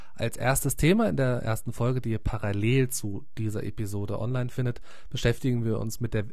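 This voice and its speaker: Amid audible room echo, a man with a medium pitch and somewhat breathy voice speaks at a moderate pace with fairly even intonation. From Munich, Bavaria. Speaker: podcast host, former radio newsreader. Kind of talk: podcast intro.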